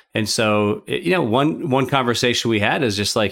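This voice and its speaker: This is a man with an ordinary speaking voice. He talks at a fairly quick pace. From Minnesota. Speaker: consultant and podcast co-host. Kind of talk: casual chat.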